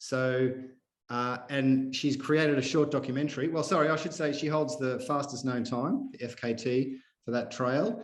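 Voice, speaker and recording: Speaking at a moderate pace with a strong Australian accent, a man uses a fairly high pitch and ordinary pitch variation amid audible room echo. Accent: broad Australian. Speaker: podcast host, activist runner. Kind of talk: casual interview. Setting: video call.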